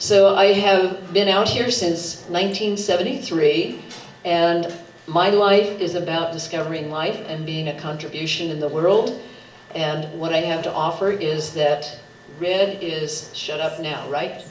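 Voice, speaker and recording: Through noticeable background noise and audible room echo, the speech moves at a fairly slow pace with ordinary pitch variation. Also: woman, fairly low pitch for a woman. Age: 70s. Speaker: political candidate. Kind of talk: debate opening statement. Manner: animated.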